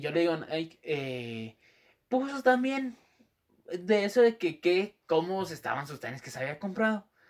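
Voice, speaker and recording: Using a Guatemalan accent, a man with a high pitch talks at a fairly slow pace, with very wide pitch swings and big swings in loudness. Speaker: podcast co-host. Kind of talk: casual chat.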